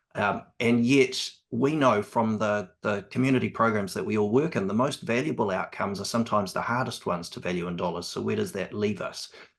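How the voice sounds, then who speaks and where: This man has a fairly low pitch and ordinary pitch variation. He talks at a fairly quick pace with hardly any pauses. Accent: New Zealand. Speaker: evaluation specialist on cost benefit analysis. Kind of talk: panel conversation. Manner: hesitant, many ums.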